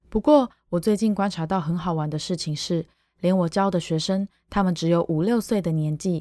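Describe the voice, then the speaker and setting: In a Taiwanese accent, a woman speaks with a dark, mellow tone, fairly low pitch and ordinary pitch variation, on a very clean recording with a silent background and a dry, close sound with no echo. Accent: Taiwanese Mandarin. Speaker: podcast host, Chinese teacher. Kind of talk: personal monologue podcast.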